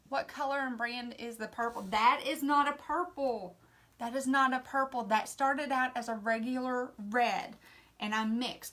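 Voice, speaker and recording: The voice has a bright, sharp tone and an American accent. Its intonation is fairly even. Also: woman, high pitch for a woman. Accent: Southern US drawl, self-described redneck. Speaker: craft painting instructor. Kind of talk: live painting tutorial. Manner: casual, chatty.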